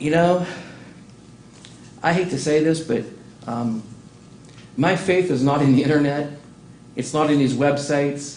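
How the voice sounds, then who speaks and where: A man talks fairly slowly in a fairly high voice, with ordinary pitch variation. There is audible echo in the room. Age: 60s. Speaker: city council member. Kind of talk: council meeting remarks. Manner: animated.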